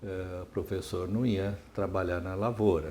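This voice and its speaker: Speaking at a fairly slow pace, the man has a very deep, low pitch, a dark, mellow tone, and a somewhat breathy quality. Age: 70s. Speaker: retired psychiatry professor. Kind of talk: oral history interview. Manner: hesitant, many fillers and repetitions.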